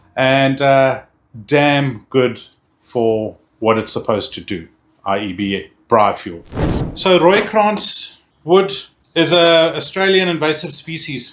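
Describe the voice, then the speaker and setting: Speaking very slowly with long, frequent pauses, a man with a South African accent uses a fairly high pitch and very wide pitch swings. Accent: Afrikaans-tinged South African. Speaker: barbecue YouTuber. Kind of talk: product review tutorial. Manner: halting, repeats words; enthusiastic.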